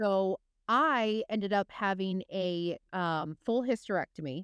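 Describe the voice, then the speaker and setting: With a plain, everyday voice, a woman speaks at medium pitch with ordinary pitch variation. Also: dry, close sound with no echo. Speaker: podcast host. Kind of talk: casual interview.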